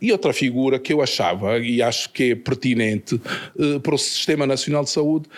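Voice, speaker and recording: A man speaks at a moderate pace. Noticeable background noise runs through the clip. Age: 60s. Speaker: medical doctor. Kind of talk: podcast interview.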